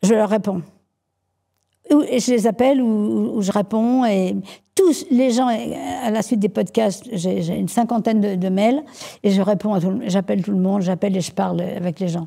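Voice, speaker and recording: A woman's dark, mellow voice at medium pitch, with ordinary pitch variation, a fairly slow pace and long, frequent pauses. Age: 70s. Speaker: entrepreneur. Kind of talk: interview. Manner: halting, many repetitions.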